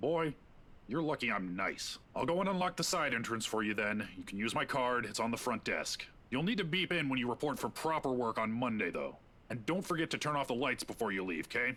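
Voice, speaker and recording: Using a put-on character voice, a man sounds gruff at a medium pitch. He speaks at a fairly quick pace with very wide pitch swings. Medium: game stream. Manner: grumbling, chatty.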